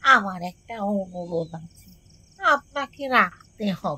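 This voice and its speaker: A put-on character voice, female-sounding, at middle pitch and a very slow pace. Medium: read story. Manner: genial, old-fashioned.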